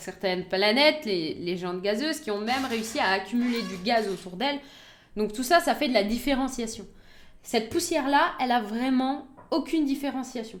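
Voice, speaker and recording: Here is a woman with a high-pitched voice. Her intonation moves in a lively way. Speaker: science streamer. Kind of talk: live stream science talk. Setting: live stream. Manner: fast.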